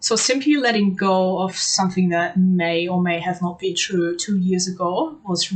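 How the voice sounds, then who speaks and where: A woman speaks at a moderate pace with a slight German accent. Her pitch is medium, and she hardly pauses at all. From Germany. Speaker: language learner giving testimonial. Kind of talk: testimony. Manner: frequent hesitations (um, uh).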